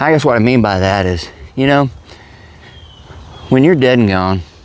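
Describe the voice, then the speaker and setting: Noticeable background noise runs through the clip. The pitch varies in an ordinary way. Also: man. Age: 60s. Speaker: vlogger. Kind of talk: casual monologue.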